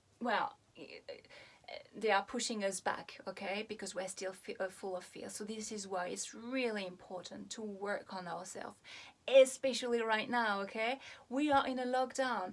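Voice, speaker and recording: Her pitch fairly high, a woman talks at a moderate pace with ordinary pitch variation and big swings in loudness. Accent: French. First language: French. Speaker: hypnotherapist. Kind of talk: video talk to camera. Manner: halting, many fillers.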